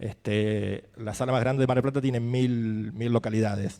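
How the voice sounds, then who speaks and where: A man talks in a dark, mellow tone. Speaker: film festival programmer. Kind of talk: panel discussion. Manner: halting, with fillers.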